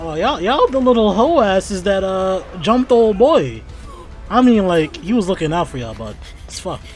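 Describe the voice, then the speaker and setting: Faint music plays behind a man whose sound is dry with no echo. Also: moderate pace, big swings in loudness. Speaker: reaction streamer. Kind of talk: casual reaction commentary. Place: home room. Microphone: studio mic.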